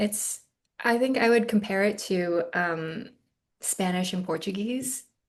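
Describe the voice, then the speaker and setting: A somewhat breathy woman with an American accent, at a fairly slow pace with ordinary pitch variation. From US, Northern Virginia near Washington DC. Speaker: actress. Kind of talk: interview. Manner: hesitant, many fillers.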